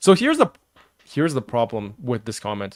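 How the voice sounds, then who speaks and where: On a very clean recording with a silent background, a man talks at a fairly quick pace in a medium pitch, the sound dry and close with no echo. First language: not English. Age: 30s. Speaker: streamer. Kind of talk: live reaction stream. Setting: live stream. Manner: halting.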